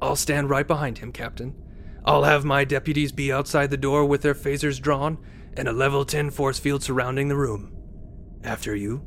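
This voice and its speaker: A gruff, put-on character voice moves at a moderate pace. Background noise is clearly audible. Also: man, fairly high pitch for a man. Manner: gruff, sneering, sarcastic.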